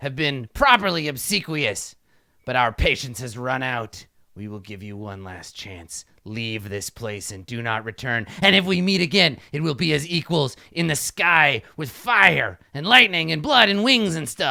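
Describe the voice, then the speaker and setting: A man puts on a growling character voice at a fairly high pitch and a moderate pace. The recording is very clean against a silent background. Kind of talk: formal, archaic. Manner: snarling, haughty, menacing.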